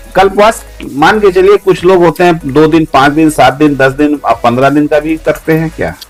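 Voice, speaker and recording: A man with a fairly high voice speaks at a moderate pace with hardly any pauses. His pitch varies in an ordinary way, with music in the background. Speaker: podcast host. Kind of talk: interview questions.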